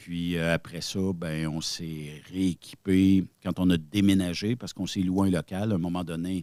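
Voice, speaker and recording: In a very clean recording with a silent background and a dry, close sound with no echo, a man with a Quebec accent speaks at a fairly slow pace in a very deep, low pitch, monotone and flat, with hardly any pauses. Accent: Québécois French. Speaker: web radio founder. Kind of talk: podcast interview. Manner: hesitant, many fillers.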